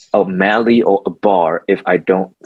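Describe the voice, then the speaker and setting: A man with a Mandarin accent at a moderate pace, flat and monotone, in a dry, close sound with no echo. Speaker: architect and songwriter. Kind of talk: interview. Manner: halting.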